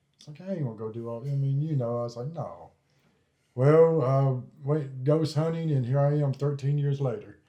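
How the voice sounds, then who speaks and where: A somewhat breathy man's voice with a Tennessee accent and big swings in loudness. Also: fairly high pitch for a man, ordinary pitch variation, moderate pace. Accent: Southern US (Tennessee). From US South, Columbia, Tennessee. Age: 40s. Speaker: ghost hunter. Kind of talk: casual interview, storytelling. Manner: halting.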